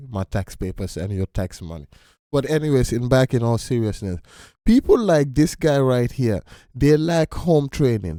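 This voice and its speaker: Dark, mellow tone from a man with a non-native accent, lively intonation and a moderate pace, in a dry, close sound with no echo on a very clean recording with a silent background. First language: not English. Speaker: reaction video host. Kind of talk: casual commentary. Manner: halting, repeats words; animated.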